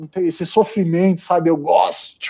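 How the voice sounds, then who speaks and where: Speaking with a high pitch and a dark, mellow tone, the man keeps his intonation fairly even. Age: 40s. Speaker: amateur marathon runner and home brewer. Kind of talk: casual chat. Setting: live video stream.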